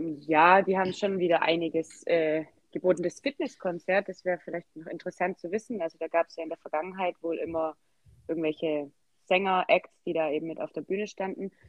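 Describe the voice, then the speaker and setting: Her pitch is fairly low for a woman, and she speaks at a fairly quick pace. Her loudness swings widely. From Swabia, southwest Germany. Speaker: Zumba enthusiast, podcast guest. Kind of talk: casual interview.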